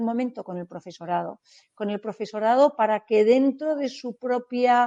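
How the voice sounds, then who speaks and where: Against a quiet background, a woman with an unremarkable speaking voice talks at a moderate pace with a fairly high pitch, fairly even intonation and big swings in loudness, in a dry, close sound with no echo. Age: 60s. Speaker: startup event organizer, business leader. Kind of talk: interview.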